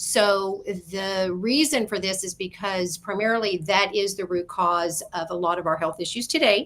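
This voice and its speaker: A woman with an ordinary speaking voice, ordinary pitch variation and hardly any pauses, on a very clean recording with a silent background. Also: medium pitch for a woman, moderate pace. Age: 60s. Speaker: wellness author. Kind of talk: radio interview. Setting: internet radio show.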